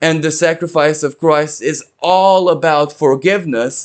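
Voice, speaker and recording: A man with a Romanian accent. His voice sits fairly high and he speaks at a fairly slow pace. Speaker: astrologer. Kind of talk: spiritual talk.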